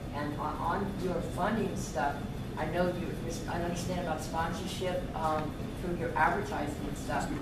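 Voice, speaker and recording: The speech comes at a moderate pace, with audible room echo and loud background noise. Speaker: community member. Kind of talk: public comment. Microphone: camera far.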